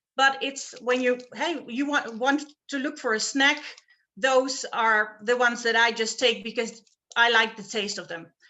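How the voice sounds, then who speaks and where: Speaking at a fairly slow pace, a woman uses a high pitch and fairly even intonation. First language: not English. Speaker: product user giving testimonial. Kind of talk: testimonial on live video call. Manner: hesitant, with many fillers.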